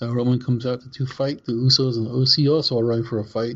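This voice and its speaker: A somewhat breathy man at a fairly quick pace. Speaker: podcast co-host. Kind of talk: casual podcast chat, show recap.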